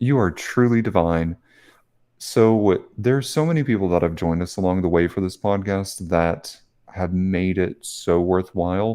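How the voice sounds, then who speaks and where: Against a quiet background, a man with an American accent talks at a moderate pace in a very deep, low voice with a dark, mellow tone and ordinary pitch variation. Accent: Southern US, stronger when tired. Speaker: podcast co-host. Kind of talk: casual chat.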